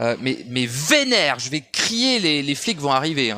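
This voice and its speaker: At a fairly slow pace, a man's voice rises and falls in very wide pitch swings. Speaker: esoteric audio commentator. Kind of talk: monologue rant. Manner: shouting; halting.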